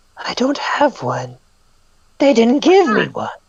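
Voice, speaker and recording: A female-sounding put-on character voice speaks fairly slowly at a high pitch. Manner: strong, powerful, booming.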